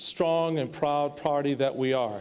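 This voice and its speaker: A man is speaking. His pace is fairly slow. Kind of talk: acceptance speech. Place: hall. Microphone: podium.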